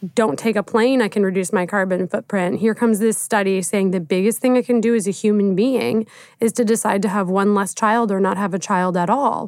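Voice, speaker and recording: In a very clean recording with a silent background, a woman uses an ordinary speaking voice at a medium pitch, with ordinary pitch variation and a fairly quick pace. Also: very even loudness. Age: 20s. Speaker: climate change journalist. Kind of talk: casual interview.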